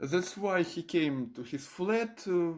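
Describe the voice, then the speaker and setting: A very slow pace in a Russian accent. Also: very clean recording, silent background. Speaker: video blogger. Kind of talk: casual explainer video. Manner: halting, many fillers.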